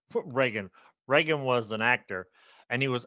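In a quiet background with a dry, close sound and no echo, a man talks at a moderate pace and medium pitch with a bright, sharp tone. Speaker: podcast co-host. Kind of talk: casual chat about news, with jokes.

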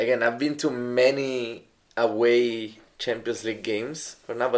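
A man's flat, monotone voice in an Italian accent, at a fairly slow pace. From Italy. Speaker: football fan co-host. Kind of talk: casual chat. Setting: pub.

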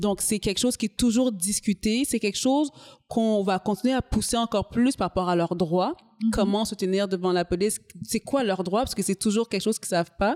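A woman with a plain, everyday voice speaks at a medium pitch with ordinary pitch variation and very even loudness, in a dry, close sound with no echo. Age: 30s. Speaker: community organization coordinator. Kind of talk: interview.

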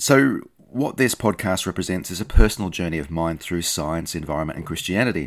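A man with an Australian accent talks at a fairly quick pace with hardly any pauses, his very deep, low voice carrying lively intonation and big swings in loudness. The recording is very clean, with a silent background. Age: 50s. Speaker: podcast host, scientist and theology student. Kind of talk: scripted narration.

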